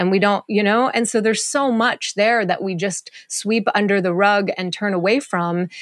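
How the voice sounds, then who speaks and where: A woman's ordinary speaking voice, medium-pitched, with ordinary pitch variation, at a moderate pace. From Montreal, Canada. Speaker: plant medicine integration guide. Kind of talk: interview conversation.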